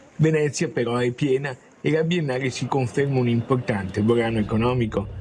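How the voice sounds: At a fairly quick pace, a man speaks at medium pitch with fairly even intonation. His tone is slightly mellow with a slightly husky edge.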